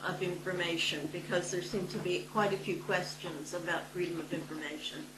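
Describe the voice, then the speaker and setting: A woman's voice carries audible room echo. Noticeable background noise is present too. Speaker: local councillor. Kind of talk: council meeting report. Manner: formal, hesitant.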